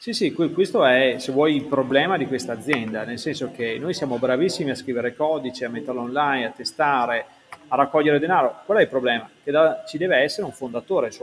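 Over noticeable background noise, a man talks at a fairly quick pace in a fairly high pitch. His loudness swings widely while his pitch varies in an ordinary way. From Italy, Verona. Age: 40s. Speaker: startup founder. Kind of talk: interview.

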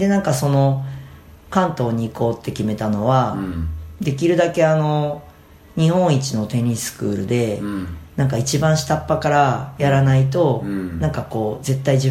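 A man speaks at a moderate pace with a medium pitch, a dark, mellow tone and a somewhat breathy quality. His intonation is lively, and the room echo is audible. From Fukui, Japan (Tsuruga). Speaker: tennis coach. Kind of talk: casual interview.

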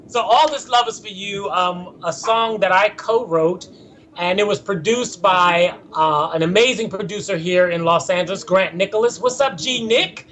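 Speaking at a moderate pace with an American accent, a man with a high pitch and ordinary pitch variation is heard over noticeable background noise. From Philadelphia. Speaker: actor and singer. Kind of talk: interview. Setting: video call.

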